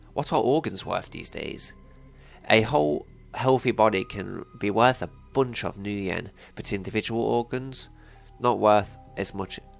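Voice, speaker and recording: The speech moves at a fairly slow pace with long, frequent pauses and ordinary pitch variation. Music plays in the background. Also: man, medium pitch for a man. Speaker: let's play gamer. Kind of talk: reading game dialogue aloud.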